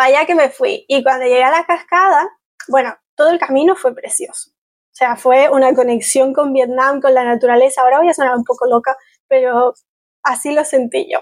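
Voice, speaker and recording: The speech moves at a fairly quick pace, with big swings in loudness and ordinary pitch variation. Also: woman, high pitch for a woman. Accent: Canary Islands. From Canary Islands, Spain. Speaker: travel blogger. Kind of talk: casual chat.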